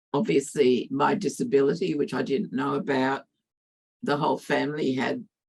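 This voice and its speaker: A woman with an Australian accent uses lively intonation at a very deep, low pitch. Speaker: academic speaker. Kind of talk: interpreted talk.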